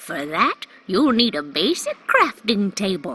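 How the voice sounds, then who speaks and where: Someone talks in a put-on character voice at a fairly slow pace while faint music plays in the background. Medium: solo performance. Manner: warm, teacherly.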